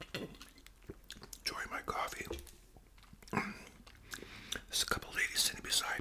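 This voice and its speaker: Whispering, a man speaks at a very slow pace. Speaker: storyteller. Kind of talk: casual vlog chat while eating. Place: home room. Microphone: webcam.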